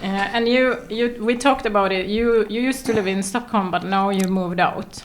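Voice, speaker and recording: Over noticeable background noise, a woman with a slight Swedish accent speaks at a fairly quick pace, her fairly high pitch kept to fairly even intonation. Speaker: podcast host. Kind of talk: podcast interview. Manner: hesitant.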